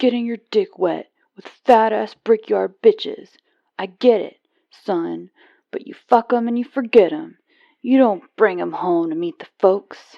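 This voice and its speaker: A put-on character voice delivers the lines fairly slowly. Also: female-sounding voice, fairly high pitch for a woman. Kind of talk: vulgar, coarse. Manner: mocking, scornful.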